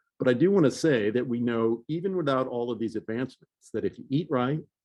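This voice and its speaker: In an unremarkable speaking voice, this man keeps a fairly quick pace. His pitch sits in the medium range and varies in an ordinary way. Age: 60s. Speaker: physician giving a health seminar. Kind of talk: lecture.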